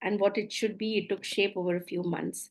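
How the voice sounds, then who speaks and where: A woman speaks with an Indian accent against a quiet background. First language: Maithili. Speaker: coach, former doctor. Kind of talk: webinar presentation. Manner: halting.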